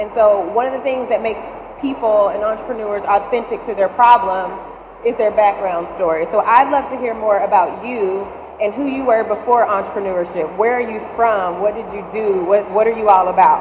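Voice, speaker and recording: A woman with an Alabama accent and a fairly high voice speaks at a moderate pace. Music plays in the background, and there is audible room echo. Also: ordinary pitch variation. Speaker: venture investor and panel moderator. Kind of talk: moderated panel interview. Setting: stage with audience.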